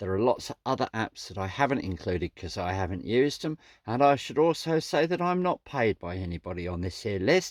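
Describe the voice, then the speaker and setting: A man with a Suffolk accent talks at a fairly quick pace in a medium pitch with very wide pitch swings. The sound is dry and close, with no echo. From Suffolk, England. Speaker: vanlife vlogger. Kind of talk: casual talk to camera. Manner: chatty, friendly.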